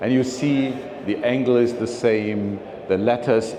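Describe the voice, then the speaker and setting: A man's fairly even intonation, with audible room echo and noticeable background noise. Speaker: philately speaker. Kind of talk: slide presentation talk. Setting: meeting room with audience. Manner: halting, many fillers.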